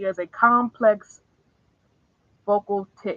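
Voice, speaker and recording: A woman's raised, projected voice in a dry, close sound with no echo. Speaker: commentary YouTuber. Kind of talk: livestream commentary. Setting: livestream.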